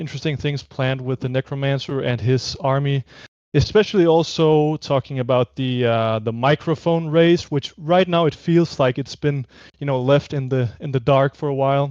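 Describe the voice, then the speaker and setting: A man's fairly high-pitched voice with a non-native accent, a dry, close sound with no echo and a quiet background. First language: not English. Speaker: animated web series creator. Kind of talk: casual chat on livestream. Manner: hesitant, many fillers.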